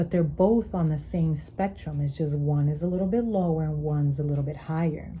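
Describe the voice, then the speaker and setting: A woman's very deep, low voice, somewhat breathy and fairly even in intonation, with audible room echo. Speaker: tarot reader. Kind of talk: tarot reading. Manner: slower, deeper at times.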